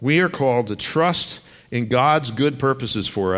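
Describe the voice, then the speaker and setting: A man talks in a plain, everyday voice at a moderate pace. His intonation is lively. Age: 40s. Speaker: pastor. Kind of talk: sermon.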